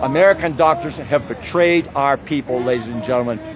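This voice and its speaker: Noticeable background noise accompanies a man talking with ordinary pitch variation. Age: 70s. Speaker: activist protest leader. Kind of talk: direct-to-camera address at protest. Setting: outdoors at street protest. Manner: halting, many fillers.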